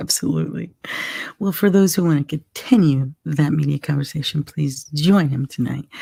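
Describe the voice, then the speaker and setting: A woman's very deep, low voice has a dark, mellow tone and is somewhat breathy, with a dry, close sound and no echo. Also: ordinary pitch variation, moderate pace. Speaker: live show host. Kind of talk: casual chat. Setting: live stream. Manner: hesitant, many fillers.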